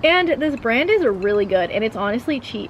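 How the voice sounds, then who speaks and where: A woman at a fairly quick pace, with noticeable background noise. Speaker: lifestyle vlogger. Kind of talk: casual vlog chat. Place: garden. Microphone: camera far.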